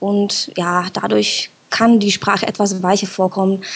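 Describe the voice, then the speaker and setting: Her medium-pitched voice holds a monotone, flat intonation as this woman speaks. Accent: Czech. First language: Czech (speaking German). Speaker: listener interviewed on a podcast. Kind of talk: casual interview.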